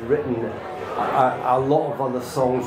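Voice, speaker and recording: A man's voice over noticeable background noise. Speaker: guest. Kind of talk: interview answer. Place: stage.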